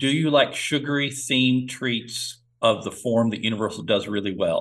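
Speaking in an unremarkable speaking voice, a man holds a medium pitch with ordinary pitch variation. His pace is moderate. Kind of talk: casual podcast chat.

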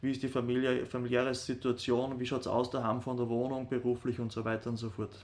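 Speaking very fast, a man keeps his medium-pitched voice monotone. His intonation stays flat throughout. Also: hardly any pauses. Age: 30s. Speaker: sports scientist, rehab sports teacher. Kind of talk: interview. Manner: hesitant, many fillers.

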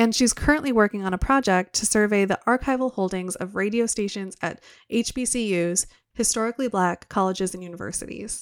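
A woman with an American accent speaks at a fairly quick pace, in a medium pitch with ordinary pitch variation and a plain, everyday voice. The recording is very clean, with a silent background. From Wisconsin. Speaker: podcast editor and guest host. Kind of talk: interview; scripted introduction. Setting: studio.

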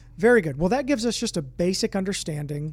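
His pitch rises and falls an ordinary amount. It is a man doing the talking. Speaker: podcast host and ministry director. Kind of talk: interview conversation.

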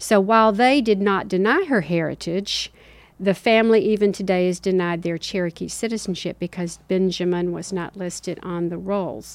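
With ordinary pitch variation, a woman's voice holds a medium pitch. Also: moderate pace. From US South, Tennessee and the Carolinas. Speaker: activist. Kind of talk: interview.

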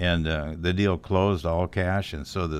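A man with a very deep, low pitch talks with fairly even intonation. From South Dakota, Sioux Falls. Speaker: commercial real estate broker. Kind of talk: casual interview.

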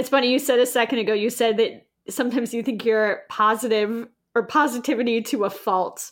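The recording is very clean, with a silent background. A normal speaking voice moves at a fairly quick pace with fairly even intonation. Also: woman, fairly high pitch for a woman. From New York City. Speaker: podcast host, actor and producer. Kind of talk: casual interview chat.

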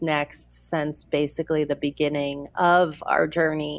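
Speaking quietly and at a fairly slow pace, a woman has a very deep, low pitch. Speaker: long-distance trekker. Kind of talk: interview. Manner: quiet and reserved.

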